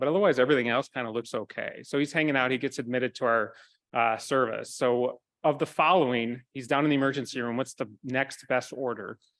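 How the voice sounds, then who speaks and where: A man with an American accent talks at a very fast pace in a medium pitch. His intonation is fairly even, and the background is quiet. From Minnesota, US Midwest. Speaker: physician assistant, conference speaker. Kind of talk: medical lecture with audience participation.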